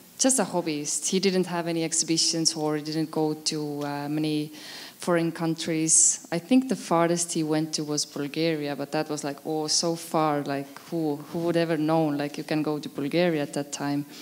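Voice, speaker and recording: A woman with an Estonian accent speaks in a very deep, low pitch. Noticeable background noise can be heard. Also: fairly even intonation, moderate pace. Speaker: photographer. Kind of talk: interview at exhibition opening. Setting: event with audience on a podium. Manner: hesitant, many fillers.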